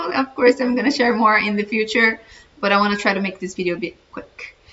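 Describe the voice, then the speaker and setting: There is noticeable background noise behind a woman's voice. She speaks with a slight Brazilian accent and ordinary pitch variation. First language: Portuguese. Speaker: dietitian and personal growth vlogger. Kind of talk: casual vlog monologue.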